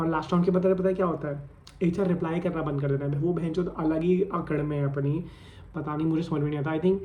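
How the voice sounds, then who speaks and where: Fairly high-pitched male speech with audible room echo and noticeable noise in the background. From India, Ghaziabad (Delhi NCR). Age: 20s. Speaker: vlogger. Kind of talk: casual vlog monologue. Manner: animated, code-switching Hindi-English.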